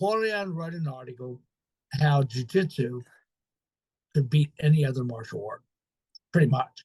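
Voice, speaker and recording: A man's fairly high, somewhat breathy voice at a moderate pace, with lively intonation, big swings in loudness and long, frequent pauses. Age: 70s. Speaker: jiu-jitsu professor. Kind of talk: casual interview chat. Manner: animated.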